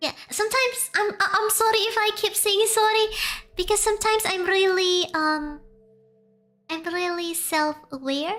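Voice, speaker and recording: Bright and sharp in tone, a woman with an Indonesian accent speaks at an extremely high pitch and a moderate pace with ordinary pitch variation. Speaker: VTuber streamer. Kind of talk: casual live stream storytelling. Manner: halting, frequent restarts.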